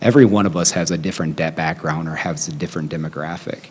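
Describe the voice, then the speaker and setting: A very fast man's voice, very deep and low. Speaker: school board candidate. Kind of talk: interview.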